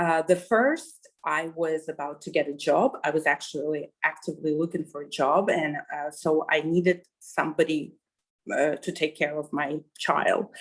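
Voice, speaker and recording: A woman speaks with a Russian accent. Her very deep, low pitch carries fairly even intonation. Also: moderate pace. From Kazakhstan. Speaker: journalist, interviewee. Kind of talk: interview. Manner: halting, many fillers.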